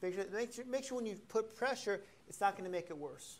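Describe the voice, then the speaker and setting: A man talks with ordinary pitch variation. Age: 50s. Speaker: chiropractor leading a balance workshop. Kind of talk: workshop demonstration to a live class. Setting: class with live audience. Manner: animated. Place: classroom.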